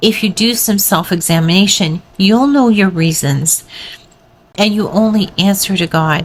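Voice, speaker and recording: Speaking fairly slowly at a medium pitch, a woman keeps her loudness very even and her pitch variation ordinary, with noticeable background noise behind her. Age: 60s. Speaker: weight loss vlogger. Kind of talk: motivational talk to camera.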